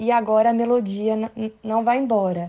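A woman with a fairly high pitch talks fairly slowly, keeping her intonation fairly even. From Brazil, São Paulo. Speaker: actress. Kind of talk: recorded message for a podcast.

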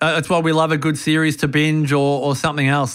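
A man with an Australian accent speaks at a fairly high pitch. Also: very clean recording, silent background. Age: 40s. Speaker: longevity strategist. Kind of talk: interview. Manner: animated.

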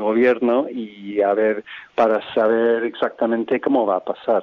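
This man's voice sits at a medium pitch. He delivers his words in a monotone, flat intonation. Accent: English. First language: English (speaking Spanish). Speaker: association president. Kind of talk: interview. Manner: halting.

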